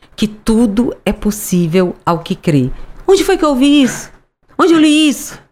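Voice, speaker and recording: A woman's animated voice at a fairly slow pace, full of very wide pitch swings. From Fortaleza, Ceará, Brazil. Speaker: author and businesswoman. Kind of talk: interview.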